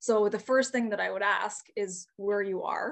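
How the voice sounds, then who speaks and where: A woman speaks in a Canadian accent at a moderate pace. She has an unremarkable speaking voice at a medium pitch. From Northern Ontario, Canada (Timmins area). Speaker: chicken farmer and online educator. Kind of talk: casual interview.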